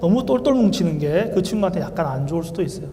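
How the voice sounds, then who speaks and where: A man with a high pitch talks fairly quickly with ordinary pitch variation, and audible room echo fills the recording. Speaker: Korean medicine doctor. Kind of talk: lecture. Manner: fast.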